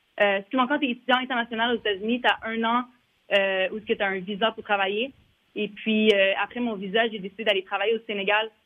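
A woman with an unremarkable speaking voice talks at a fairly quick pace, fairly high in pitch with fairly even intonation. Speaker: former basketball player, league staffer. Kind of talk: interview.

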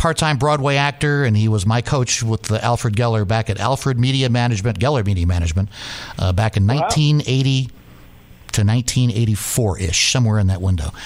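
Against noticeable background noise, a man with an American accent keeps his loudness very even. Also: medium pitch for a man, ordinary pitch variation. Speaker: sports broadcaster. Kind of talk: casual chat. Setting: studio. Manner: fast.

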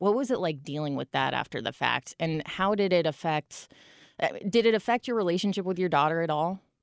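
On a very clean recording with a silent background, a woman with a plain, everyday voice speaks fairly low for a woman, with lively intonation, a fairly quick pace and a dry, close sound with no echo. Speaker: radio show host. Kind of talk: interview. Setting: studio. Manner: casual.

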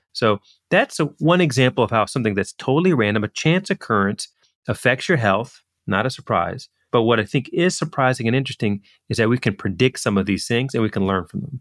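A man speaks in a plain, everyday voice at medium pitch with lively intonation. The recording is very clean, with a silent background. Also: fairly quick pace. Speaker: physician and economist, author. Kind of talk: interview.

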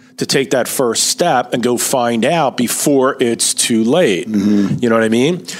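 A man's medium-pitched voice at a fairly slow pace, with ordinary pitch variation and very even loudness, over noticeable background noise. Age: 50s. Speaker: financial advisor. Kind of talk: casual chat. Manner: animated.

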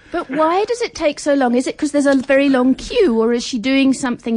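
In an English accent, a woman talks at a fairly quick pace. Her high-pitched voice has lively intonation. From England. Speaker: food anthropologist. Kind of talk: radio interview. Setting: radio studio.

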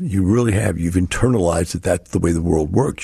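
Somewhat breathy and dark, mellow in tone, a man with an American accent talks at a fairly quick pace. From US Texas. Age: 60s. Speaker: radio host. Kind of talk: solo radio talk show monologue.

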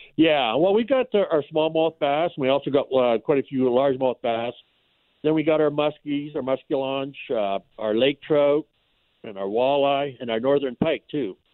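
A man with a plain, everyday voice, fairly high-pitched, at a moderate pace with ordinary pitch variation. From Canada. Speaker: fishing lodge owner. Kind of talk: phone interview.

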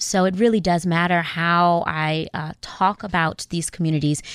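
A woman with an American accent speaks at a moderate pace, her pitch fairly low. She has a plain, everyday voice. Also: very clean recording, silent background. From US, South Central Los Angeles. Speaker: government diplomat. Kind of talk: radio interview.

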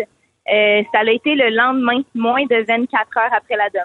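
At a fairly slow pace, a woman with a fairly high pitch speaks with fairly even intonation in a normal speaking voice. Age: 20s. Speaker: caller. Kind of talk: testimony. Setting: phone call.

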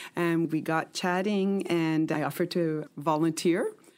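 Here a woman speaks with a fairly low pitch. The recording is very clean, and the background is silent. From Quebec, Canada. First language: French (dominant, though English learned first). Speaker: museum manager. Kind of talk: interview.

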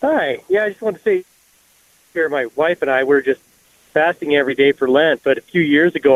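With an ordinary speaking voice, a man talks at a fairly quick pace and ordinary pitch variation. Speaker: caller. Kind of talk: call-in conversation. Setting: phone call.

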